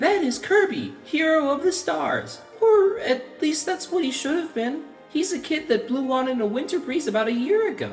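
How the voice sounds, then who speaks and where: A put-on character voice with a high pitch moves at a moderate pace over clear music in the background. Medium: audio drama. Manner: bubbly, friendly.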